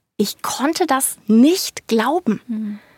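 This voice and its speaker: With a dry, close sound and no echo, a woman speaks in a high voice with lively intonation and an animated tone. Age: 20s. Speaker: young mother. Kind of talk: casual interview.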